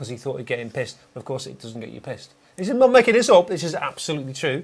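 A man talks in a northern English accent. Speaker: podcast host. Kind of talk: casual podcast banter. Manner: fast talker. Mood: jokey, amused storytelling. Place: studio.

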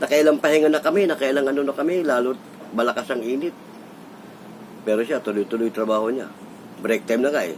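Though he talks at a very fast pace, a man with a medium pitch and ordinary pitch variation leaves long, frequent pauses. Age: 60s. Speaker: vlogger. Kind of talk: casual storytelling monologue.

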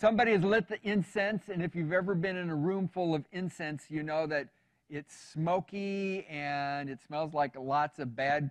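Over a quiet background, a man with a plain, everyday voice and fairly high pitch talks at a moderate pace with ordinary pitch variation and hardly any pauses. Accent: American. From US West. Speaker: pastor. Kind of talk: sermon.

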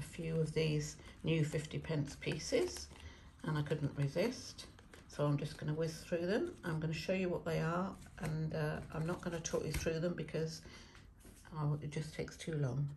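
A woman speaks at a moderate pace with low pitch, ordinary pitch variation and a slightly mellow tone. Vocal fry runs through her voice, and audible room echo is present.

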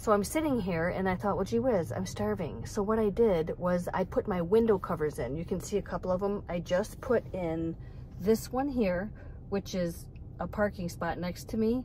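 A woman talks at a moderate pace in a dark, mellow tone with vocal fry. The sound is dry with no echo, over light background noise. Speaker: van dweller vlogger. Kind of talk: casual vlog chat. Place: car. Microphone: phone near.

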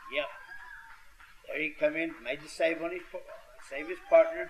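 Noticeable background noise is heard as the male speaker keeps a moderate pace. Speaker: wrestling commentator. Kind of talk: live wrestling commentary. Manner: folksy, halting, stop-start analysis.

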